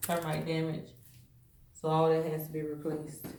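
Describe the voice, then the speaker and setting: Speaking with an American accent, a woman can be heard over noticeable background noise. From Southern United States. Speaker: realtor. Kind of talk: casual house-tour vlog talk to camera.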